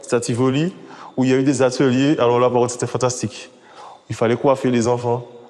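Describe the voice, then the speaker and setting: A man talks at a fairly quick pace with a medium pitch. Noticeable background noise runs behind him. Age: 40s. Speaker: father in a parenting association. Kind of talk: documentary interview testimony.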